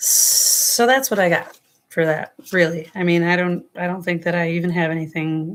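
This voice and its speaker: A woman with an American accent speaks at a fairly slow pace, her fairly low voice holding a fairly even intonation. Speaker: tarot reader. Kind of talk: live stream tarot reading. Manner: casual, rambling.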